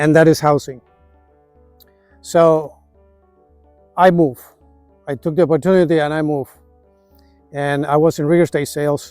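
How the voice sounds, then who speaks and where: Music plays in the background as a man with a fairly high voice speaks at a moderate pace in a monotone, flat way, with long, frequent pauses. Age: 60s. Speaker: retirement vlogger. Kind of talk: casual vlog monologue. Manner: halting.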